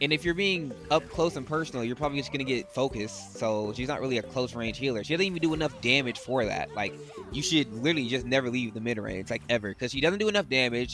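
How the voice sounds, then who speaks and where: With music in the background, a man of medium pitch talks very fast with lively intonation. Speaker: gaming YouTuber. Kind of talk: gameplay commentary. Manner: animated.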